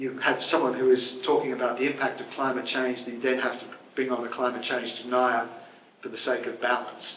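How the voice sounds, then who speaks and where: A man with an Australian accent talks at a fairly quick pace in a medium pitch. Room echo is audible, and background noise is noticeable. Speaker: journalist and author. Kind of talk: Q&A discussion. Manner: halting.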